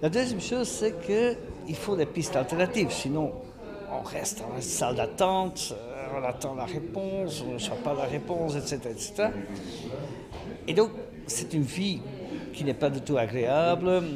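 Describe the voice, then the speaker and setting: A man's fairly high voice at a moderate pace, with very wide pitch swings, long, frequent pauses, noticeable background noise and audible room echo. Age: 60s. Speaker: career coach. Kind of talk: radio interview. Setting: skills fair event.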